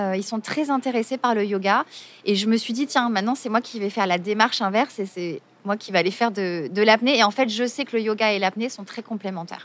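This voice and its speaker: At a fairly quick pace, a woman with a fairly high pitch talks with ordinary pitch variation. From Marseille, southern France. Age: 40s. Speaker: yoga teacher. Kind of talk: interview. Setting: outdoors by the sea. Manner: hesitant.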